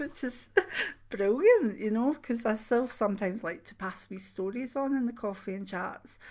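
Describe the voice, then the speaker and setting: Ordinary pitch variation and big swings in loudness. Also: woman, fairly high pitch for a woman, moderate pace. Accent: Scottish. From Scotland. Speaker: spiritual channel host, clairvoyant. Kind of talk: casual chat. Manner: informal, hesitant with fillers.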